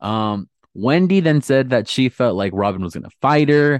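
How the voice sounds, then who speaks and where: A man's voice in a dry, close sound with no echo and a quiet background. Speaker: podcast co-host. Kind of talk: casual chat recapping a reality show. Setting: video call. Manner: fast.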